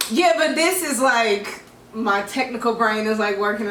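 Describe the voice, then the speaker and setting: A woman speaks loudly in a high pitch with lively intonation, over noticeable background noise and with audible room echo. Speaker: podcast co-host. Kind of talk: casual chat.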